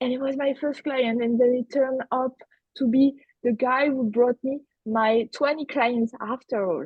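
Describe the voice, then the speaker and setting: A woman speaks in a French accent at a high pitch. Her pace is moderate and her intonation fairly even. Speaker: business coach. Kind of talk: roundtable discussion.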